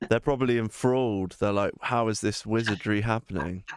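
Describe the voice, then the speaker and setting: This man speaks with an English accent. His pitch is fairly low. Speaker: gaming streamer. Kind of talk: casual chat. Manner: loud.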